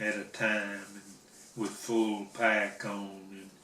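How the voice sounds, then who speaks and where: Over noticeable background noise, a man speaks at a very slow pace in a fairly low pitch, his intonation monotone and flat. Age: old. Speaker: Korean War veteran. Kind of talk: interview answer.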